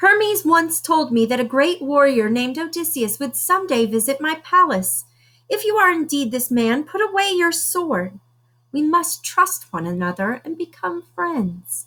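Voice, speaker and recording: A woman puts on a character voice, high-pitched with very wide pitch swings, at a moderate pace. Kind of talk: bedtime story. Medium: read story.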